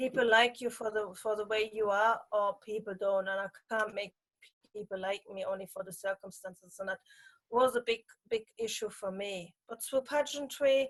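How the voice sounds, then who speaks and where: A woman with a German accent speaks at a fairly high pitch with fairly even intonation, and the sound is dry and close with no echo. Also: moderate pace. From Germany. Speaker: pageant titleholder. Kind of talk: interview. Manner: halting.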